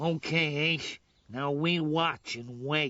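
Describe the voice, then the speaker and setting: A man talks in a cartoonish character voice, fairly high in pitch. His pace is very slow and his intonation fairly even. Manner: bossy, impatient.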